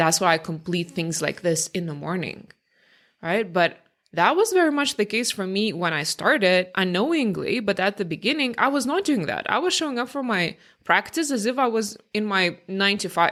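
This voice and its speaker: In a very clean recording with a silent background, a woman with a non-native accent talks at a moderate pace and medium pitch, her voice making very wide pitch swings. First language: not English. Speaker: career change coach, podcast host. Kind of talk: podcast monologue. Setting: home recording, early morning. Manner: casual, conversational.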